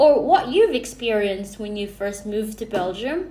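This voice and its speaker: A woman with a Filipino accent speaks at a fairly slow pace in a fairly high pitch, her intonation lively, with audible room echo. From Philippines. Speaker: vlogger. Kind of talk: casual vlog talk to camera. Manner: hesitant, many fillers and restarts.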